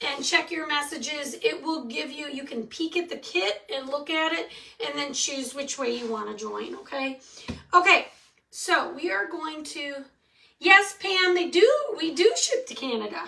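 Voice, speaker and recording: In a Michigan accent, a woman uses a raised, projected voice with a bright, sharp tone, a high pitch, very wide pitch swings and big swings in loudness at a moderate pace. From Michigan, US Midwest. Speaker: craft tutorial host. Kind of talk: live craft tutorial. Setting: livestream. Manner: casual, chatty.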